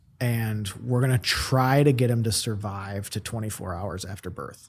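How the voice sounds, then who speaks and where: In a very clean recording with a silent background, a man speaks at a medium pitch, somewhat breathy, with ordinary pitch variation. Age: 30s. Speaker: real estate company president. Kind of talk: casual interview.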